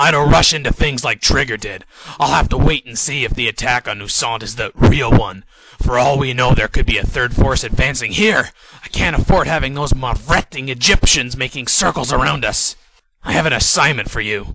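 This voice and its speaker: Using a put-on character voice, a man speaks at a fairly quick pace and medium pitch with ordinary pitch variation. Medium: machinima. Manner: casual, wry.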